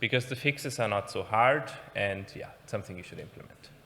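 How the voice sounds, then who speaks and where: A man's fairly low-pitched voice with a bright, sharp tone at a very fast pace. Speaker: penetration tester, conference speaker. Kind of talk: conference talk.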